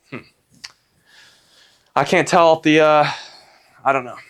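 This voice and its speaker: This man's voice sits fairly high. The recording is very clean, and the background is silent. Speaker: fitness vlogger. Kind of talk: casual vlog talk.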